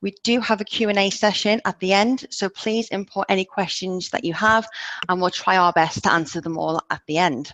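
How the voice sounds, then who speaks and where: Speaking with an English accent, a woman talks at a moderate pace with ordinary pitch variation. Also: medium pitch for a woman, dry, close sound with no echo. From England. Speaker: project manager, webinar host. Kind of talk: webinar presentation. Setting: video call webinar.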